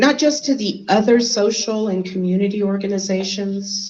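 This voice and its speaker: A woman talks at a fairly slow pace and medium pitch with ordinary pitch variation. Her voice is somewhat breathy. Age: 60s. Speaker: lawyer and keynote speaker. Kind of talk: keynote speech.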